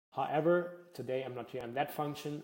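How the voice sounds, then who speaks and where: Speaking at a fairly quick pace, a man with a dark, mellow tone talks in a German accent. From Germany. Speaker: data analytics workshop presenter. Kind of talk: workshop presentation. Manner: frequent filler words (uh, um).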